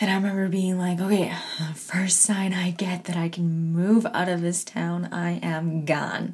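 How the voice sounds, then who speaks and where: The woman's voice is fairly low and somewhat breathy, delivered fairly slowly with monotone, flat intonation. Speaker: podcast host. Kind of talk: casual chat. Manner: laughs often.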